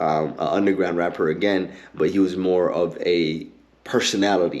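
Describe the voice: A man speaks at a moderate pace with low pitch and fairly even intonation. His tone is slightly mellow.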